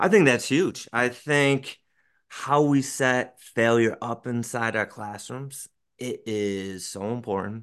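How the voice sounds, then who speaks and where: Speaking very slowly with an American accent, a man uses ordinary pitch variation over a quiet background. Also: medium pitch for a man. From rural Western New York, US. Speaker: elementary school teacher and podcast host. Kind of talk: casual interview chat.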